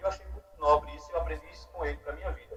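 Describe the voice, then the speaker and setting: A man talks at a very fast pace. He has a northeastern Brazilian accent. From Alagoas, Brazilian Northeast. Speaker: podcast guest, speaker. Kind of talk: casual interview storytelling.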